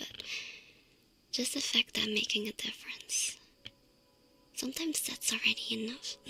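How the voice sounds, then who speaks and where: Someone whispers at a moderate pace, with long, frequent pauses. Music plays in the background. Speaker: VTuber ASMR streamer. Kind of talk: ASMR sleep talk. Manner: whispered, soft.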